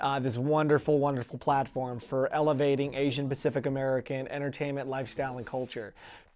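Faint music plays behind a man whose intonation stays fairly even. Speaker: interviewee. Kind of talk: interview answer. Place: studio. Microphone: lapel.

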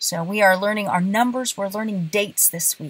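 A woman's somewhat breathy voice, recorded dry with no echo. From bilingual Puerto Rican and southern US home, military family. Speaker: Spanish teacher. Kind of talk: casual talk to camera. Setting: in a car. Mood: warm, friendly. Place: car. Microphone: phone near.

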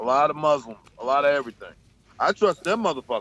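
The intonation is lively in this New York accent, and the sound is dry with no echo. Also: man. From Bronx, New York. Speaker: truck driver; panelist. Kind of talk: casual chat. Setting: video call from his truck. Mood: candid, animated. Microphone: video call.

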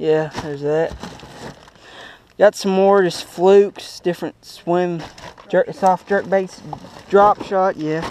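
The sound is dry, with no echo. There is light background noise. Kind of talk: casual vlog chat. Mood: joking, playful. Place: boat. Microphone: phone near.

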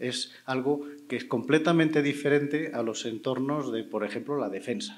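A man with a Spanish accent and a fairly high pitch. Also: ordinary pitch variation, moderate pace. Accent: Spanish (Spain). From Spain. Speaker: panel moderator, cybersecurity expert; panel moderator. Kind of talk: panel moderation. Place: stage. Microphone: handheld.

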